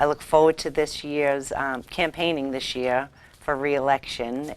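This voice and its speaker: A woman speaks in a Boston accent at a moderate pace. Her voice is very deep and low, with monotone, flat intonation. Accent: Boston area. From Massachusetts, Revere. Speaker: school committee member. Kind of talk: campaign appeal; casual interview chat.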